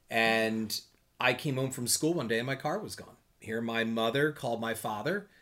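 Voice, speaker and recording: Recorded very cleanly against a silent background, a man with an American accent speaks with ordinary pitch variation. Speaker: podcast co-host, history teacher. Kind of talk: casual chat. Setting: studio. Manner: loud.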